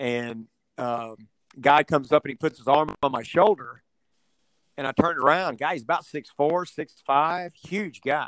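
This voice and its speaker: A man with a Texan accent talks at a moderate pace in a fairly high pitch with ordinary pitch variation. The sound is dry and close with no echo. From Texas (Houston, West Texas). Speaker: rancher and domino player. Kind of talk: casual chat.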